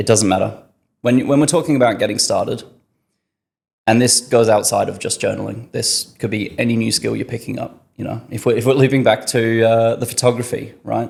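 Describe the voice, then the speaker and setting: A man with vocal fry, fairly even intonation and a fairly quick pace. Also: medium pitch for a man. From northern England, Yorkshire. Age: 20s. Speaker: podcast guest, marketing worker. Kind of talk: casual interview chat.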